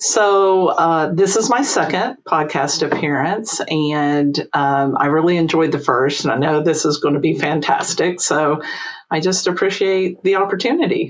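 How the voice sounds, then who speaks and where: With a slight Eastern Kentucky accent, the speaker goes at a fairly slow pace, keeping ordinary pitch variation and very even loudness. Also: woman, fairly low pitch for a woman. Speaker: employment lawyer and entrepreneur. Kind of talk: podcast interview.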